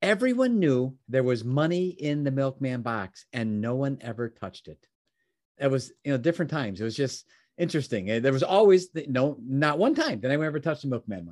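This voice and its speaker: A man with a normal speaking voice and an American accent, fairly high in pitch, at a fairly quick pace against a quiet background. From Chicago, US Midwest. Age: 60s.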